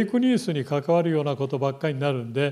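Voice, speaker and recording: A man's dark, mellow voice with very wide pitch swings, against a quiet background. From Japan, Kumamoto; Japan. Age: 70s. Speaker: military analyst. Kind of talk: lecture. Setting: lecture hall with live online stream. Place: classroom. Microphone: handheld.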